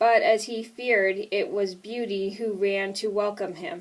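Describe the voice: Fairly even intonation in plain reading aloud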